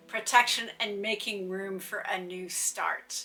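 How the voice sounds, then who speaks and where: With music playing in the background, a woman talks at a fairly slow pace. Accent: American. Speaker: witchcraft content creator. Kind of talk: tutorial.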